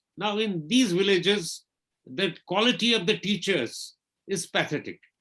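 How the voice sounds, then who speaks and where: This man's voice is high-pitched, raised and projected, with a bright, sharp tone. His pitch varies in an ordinary way. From India, Kashmir (Srinagar). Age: 60s. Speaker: invited lecture speaker on technology. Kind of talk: webinar lecture. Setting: online webinar.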